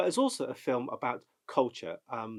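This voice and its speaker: A man talks with a Bristol accent. His pace is moderate. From England, Bristol. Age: 50s. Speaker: actor. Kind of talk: interview. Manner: halting.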